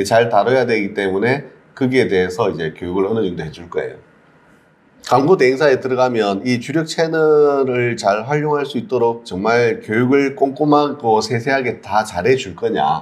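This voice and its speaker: The intonation is lively. The pace is moderate. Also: man, medium pitch for a man. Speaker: CEO of a digital marketing community. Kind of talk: mentoring talk to a job seeker.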